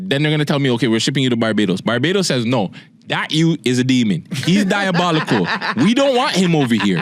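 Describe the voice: The voice moves quickly with few pauses and big pitch swings. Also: man, medium pitch for a man.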